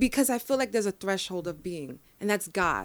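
Animated in tone, a woman of medium pitch speaks with a New York accent. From New York, the Bronx. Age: 30s. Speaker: mental health advocate. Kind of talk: casual interview. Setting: studio.

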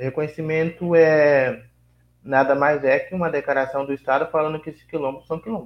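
A man speaks in an unremarkable speaking voice, pitched fairly high. His pace is moderate and his pitch variation ordinary. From Vale do Ribeira, São Paulo state, Brazil. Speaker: quilombola community leader. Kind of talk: interview.

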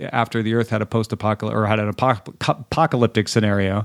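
In a plain, everyday voice, a man of medium pitch speaks with fairly even intonation, captured in a very clean recording with a silent background and a dry, close sound without echo. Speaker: tech podcaster. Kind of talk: casual chat.

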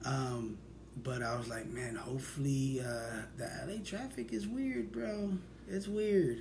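A man talks with very wide swings in pitch. Noticeable background noise and audible room echo fill the recording. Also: medium pitch for a man, fairly slow pace. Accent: American. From Sacramento, California. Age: 30s. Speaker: podcast host. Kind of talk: casual chat.

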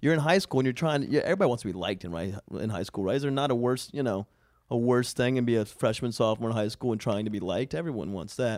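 A man at medium pitch with an American accent, a very fast pace and lively intonation, on a very clean recording with a silent background. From US South, coastal Georgia. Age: 30s. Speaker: stand-up comedian. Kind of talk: casual chat.

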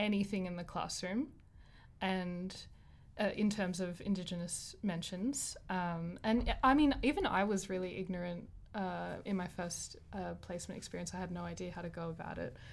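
Audible room echo surrounds a woman speaking with an Australian accent. Her medium pitch has ordinary variation, and her pace is moderate. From Australia, Wollongong. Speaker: teaching student. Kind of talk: casual chat.

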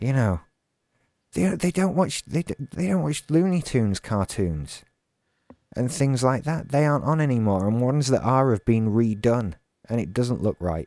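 On a very clean recording with a silent background and a dry, close sound with no echo, a man with a British accent and a dark, mellow tone speaks at a medium pitch and moderate pace, his pitch swinging very widely. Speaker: podcast co-host. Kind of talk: casual chat. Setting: live stream with chat room.

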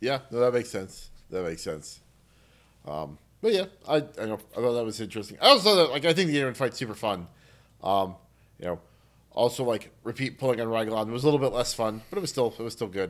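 A man at medium pitch talks at a very fast pace with very wide pitch swings. Long, frequent pauses break up his speech. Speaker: podcast co-host. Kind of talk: casual chat about games.

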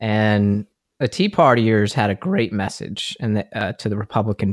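In a very clean recording with a silent background and a dry, close sound with no echo, a man with an American accent speaks at a moderate pace in a fairly low voice. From Texas. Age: 30s. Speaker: political commentator. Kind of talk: casual political discussion. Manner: animated.

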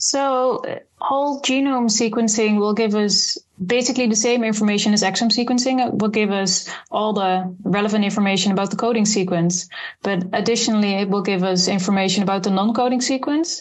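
A woman talks at a fairly quick pace in a normal speaking voice with a fairly high pitch. Her pitch varies in an ordinary way, and her loudness stays very even. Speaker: clinical geneticist researcher. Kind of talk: expert interview.

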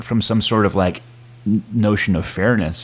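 A man's plain, everyday voice at a fairly quick pace, with ordinary pitch variation. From Connecticut, US. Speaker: academic and writer. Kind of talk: casual political discussion.

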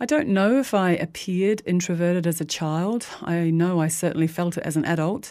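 On a very clean recording with a silent background, a woman with a New Zealand accent speaks at a moderate pace, her fairly low voice dark and mellow. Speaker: community radio host. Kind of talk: scripted narration. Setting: radio studio.

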